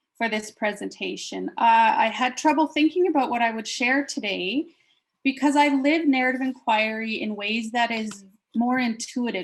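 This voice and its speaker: At a moderate pace, a woman's somewhat breathy voice sits fairly high, with ordinary pitch variation. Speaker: professor. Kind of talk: academic presentation. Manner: halting.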